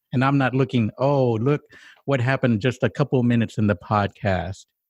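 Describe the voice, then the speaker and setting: A man speaks at a fairly quick pace with a medium pitch and ordinary pitch variation. The sound is dry and close with no echo, and his loudness stays very even. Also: quiet background. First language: Spanish. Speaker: podcast co-host. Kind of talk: casual chat.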